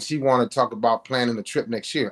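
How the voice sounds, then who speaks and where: A very fast, animated male voice with an American accent, medium pitch, ordinary pitch variation and a dry, close sound with no echo. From US Midwest, Cleveland. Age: 50s. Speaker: author. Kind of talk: interview.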